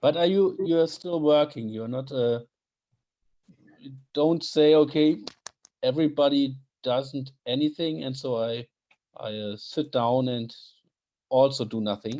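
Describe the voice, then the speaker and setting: At a fairly slow pace with long, frequent pauses, a man speaks in a dark, mellow tone, his fairly high pitch varying in an ordinary way. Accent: German. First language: German. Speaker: podcast host. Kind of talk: casual chat. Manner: halting.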